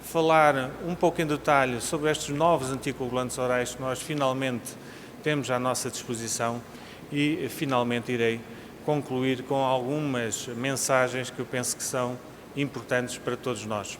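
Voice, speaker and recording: Against noticeable background noise and audible room echo, a man of medium pitch speaks at a moderate pace with fairly even intonation. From Portugal. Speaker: cardiologist, conference speaker. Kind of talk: conference lecture. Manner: formal.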